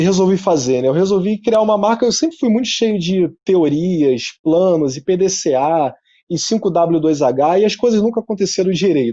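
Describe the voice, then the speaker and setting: A man talks at a moderate pace, his intonation lively throughout. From Rio de Janeiro, Zona Norte suburb. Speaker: entrepreneur and speaker. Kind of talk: talk at an online event. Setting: his office showroom, video presentation. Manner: casual, conversational.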